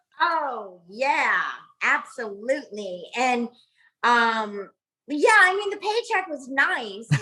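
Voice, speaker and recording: A woman's high-pitched, raised, projected voice with a bright, sharp tone, very wide pitch swings, and a very slow pace. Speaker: actress. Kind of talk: interview answer.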